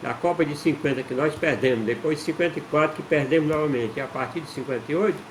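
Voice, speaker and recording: Noticeable background noise runs through the clip. A man is speaking. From Brazil, Ceará interior (Northeast). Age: 60s. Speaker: amateur football historian, channel owner. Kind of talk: casual talk-to-camera history explainer. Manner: halting, with repetitions and fillers.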